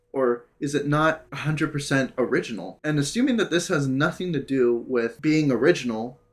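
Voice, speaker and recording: A man's fairly high voice with an American accent, at a moderate pace with hardly any pauses, ordinary pitch variation and very even loudness, over music in the background. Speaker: content creator. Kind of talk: monologue. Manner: halting.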